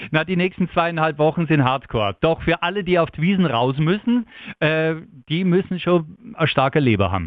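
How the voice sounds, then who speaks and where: In a Bavarian accent, a man speaks with lively intonation at a fairly high pitch. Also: moderate pace. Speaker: radio morning show host. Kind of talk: casual chat. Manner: animated.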